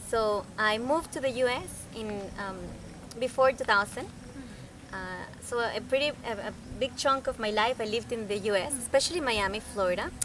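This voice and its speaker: Speaking at a moderate pace in a Spanish accent, the voice has ordinary pitch variation and long, frequent pauses. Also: woman, fairly high pitch for a woman. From Venezuela (Caracas). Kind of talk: interview. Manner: halting, many fillers.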